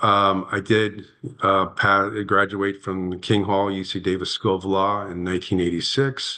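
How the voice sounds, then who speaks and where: A man with an American accent speaks at a fairly slow pace in a bright, sharp tone. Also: quiet background. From Northern California. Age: 60s. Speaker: landowner and protestant at a public hearing. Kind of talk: testimony at a formal hearing. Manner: halting, with many fillers and restarts.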